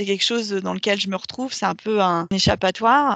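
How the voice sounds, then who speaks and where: A woman's medium-pitched voice at a moderate pace, with ordinary pitch variation and a dry, close sound with no echo over a quiet background. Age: 30s. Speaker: marketing coordinator and yoga teacher. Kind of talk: casual interview. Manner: hesitant, many fillers.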